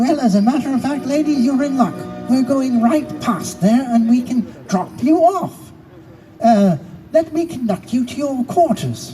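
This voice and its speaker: A put-on character voice at a fairly high pitch moves at a moderate pace over clear background music. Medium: read story. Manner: hearty, folksy.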